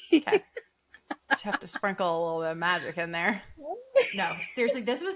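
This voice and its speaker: In a Southern US accent, a woman with a fairly high, bright and sharp voice talks at a moderate pace in an animated tone, her pitch swinging very widely. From US South. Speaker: podcast co-host, healthcare worker. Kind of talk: casual chat.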